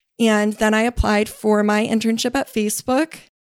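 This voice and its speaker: An ordinary speaking voice from a woman, fairly high in pitch, with an American accent, at a moderate pace, in a dry, close sound with no echo on a very clean recording with a silent background. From US West Coast, San Francisco Bay Area. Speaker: content strategist. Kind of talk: interview. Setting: studio.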